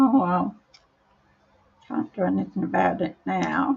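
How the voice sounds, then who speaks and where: A woman speaks at a very slow pace in an Australian accent. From Australia, Brisbane. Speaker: paper crafting demonstrator. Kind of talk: live crafting tutorial. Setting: livestream. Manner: hesitant, many ums.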